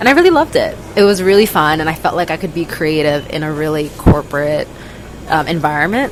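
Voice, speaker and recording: Amid noticeable background noise, a woman with a New York accent speaks very fast at a very deep, low pitch with ordinary pitch variation. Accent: New York American. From US, New York City. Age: 20s. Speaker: traveler and former corporate consultant. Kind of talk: casual chat. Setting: convenience store.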